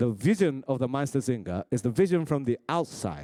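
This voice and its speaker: This voice has a dark, mellow tone and a Japanese accent. Its pitch swings very widely in a dry, close sound with no echo. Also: man. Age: 40s. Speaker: rapper and crew meeting moderator. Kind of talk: motivational talk to a crew. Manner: simple, deliberate phrasing.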